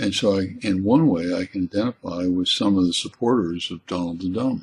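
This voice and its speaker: A man's very deep, low voice with an American accent, somewhat breathy, at a fairly quick pace with ordinary pitch variation. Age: 70s. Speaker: college teacher and essayist. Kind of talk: spoken essay monologue. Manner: halting, with repeated words.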